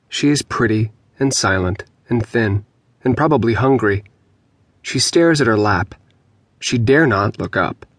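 A man speaks at a moderate pace and medium pitch with ordinary variation and very even loudness, pausing long and often, in a dry, close sound with no echo. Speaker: audiobook narrator. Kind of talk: dramatic audiobook narration of dark, grotesque fiction.

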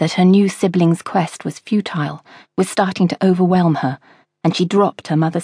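With fairly even intonation, a person is reading aloud in a natural voice over a quiet background.

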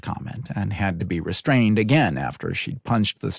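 The voice heard here reads in a natural way.

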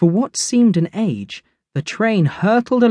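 Plain reading aloud plays against a quiet background.

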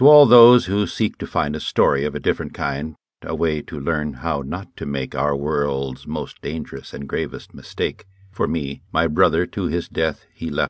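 A man's very deep, low voice with vocal fry, dramatic and solemn in tone, at a moderate pace. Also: ordinary pitch variation. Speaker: audiobook narrator. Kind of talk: audiobook narration, dramatic reading. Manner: dramatic, solemn, grave; shifts into character voices for dialogue.

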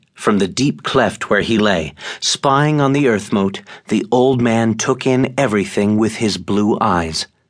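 The speaker uses a dramatic tone at a moderate pace with ordinary pitch variation, against a quiet background. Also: man. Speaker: audiobook narrator. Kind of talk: audiobook narration of a fantasy novel. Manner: dramatic, measured storytelling with a hushed, suspenseful tone.

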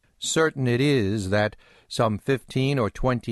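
A man with a plain, everyday voice speaks at a fairly slow pace with ordinary pitch variation, the sound dry and close with no echo over a quiet background. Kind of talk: audiobook narration, reading aloud a 19th-century novel. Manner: measured, formal, unhurried literary delivery.

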